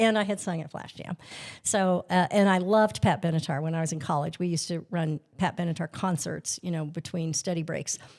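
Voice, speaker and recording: In a normal speaking voice, a woman talks at a fairly quick pace with a fairly low pitch and fairly even intonation, on a very clean recording with a silent background. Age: 60s. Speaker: singer in a band. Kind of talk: casual chat.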